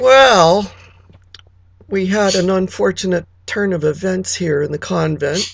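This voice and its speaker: A woman in a put-on character voice, raspy and medium-pitched, talks at a fairly slow pace with ordinary pitch variation and long, frequent pauses. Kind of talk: comic monologue. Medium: solo performance. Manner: chatty, confiding, gossipy.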